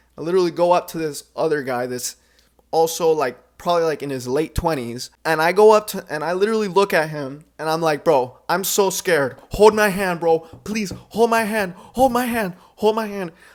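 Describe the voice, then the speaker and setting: Here a man speaks in a high pitch at a moderate pace. His intonation is lively and his tone animated. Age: 20s. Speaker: commentary vlogger. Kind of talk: casual storytelling.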